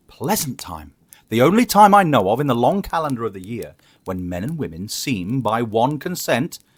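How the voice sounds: The speaker reads in a natural reading voice.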